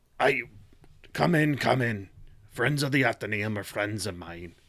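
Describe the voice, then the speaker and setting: A raspy, put-on character voice from a man at medium pitch, with lively intonation and a moderate pace. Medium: actual play. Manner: formal, composed.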